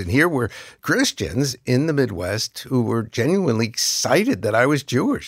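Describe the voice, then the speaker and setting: A man with an American accent speaks in an ordinary speaking voice with lively intonation, recorded dry and close with no echo, very clean against a silent background. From US Northeast, New York City. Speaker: pastor. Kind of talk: interview.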